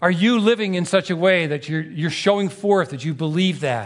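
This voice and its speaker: A man's high-pitched voice, fairly quick, with ordinary pitch variation. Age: 60s. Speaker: pastor. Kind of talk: sermon. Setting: church with congregation, also streamed online.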